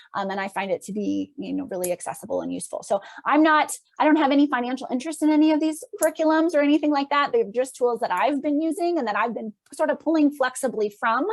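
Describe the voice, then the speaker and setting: A woman talks at a very fast pace in a high-pitched voice. Her intonation is lively. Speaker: clinical psychologist. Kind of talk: lecture. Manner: halting.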